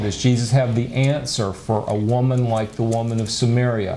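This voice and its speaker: Over light background noise, a man talks at a moderate pace and medium pitch with fairly even intonation. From USA. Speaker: pastor and Bible lecturer; Bible teacher. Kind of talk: lecture. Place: studio.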